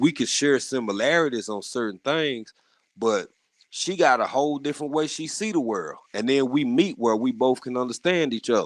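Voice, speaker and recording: Man with a Southern US accent, moderate pace and lively intonation. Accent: deep Southern country twang. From rural US South. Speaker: gardening community panelist. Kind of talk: casual chat. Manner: animated, many repetitions and false starts.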